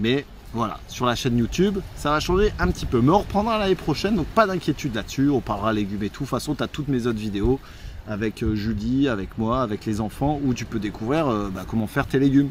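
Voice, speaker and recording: A man talks at a very fast pace over light background noise, the sound dry with no echo. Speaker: travel vlogger. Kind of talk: casual vlog chat. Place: beach. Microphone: phone near.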